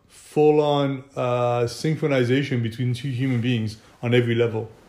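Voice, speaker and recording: With a French accent, a man talks at a fairly slow pace in a medium pitch. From southern France. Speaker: film production company owner. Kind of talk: casual chat.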